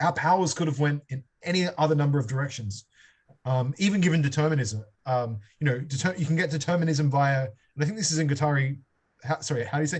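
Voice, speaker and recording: A somewhat breathy man's fairly high voice at a very fast pace, with ordinary pitch variation and long, frequent pauses. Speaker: seminar leader on philosophy. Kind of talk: seminar discussion. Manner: halting, many repetitions and fillers; improvised, thinking aloud.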